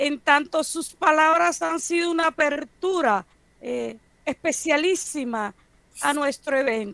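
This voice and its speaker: A woman speaks very slowly in a bright, sharp tone. Her voice is high-pitched, with lively intonation. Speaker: professor. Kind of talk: lecture.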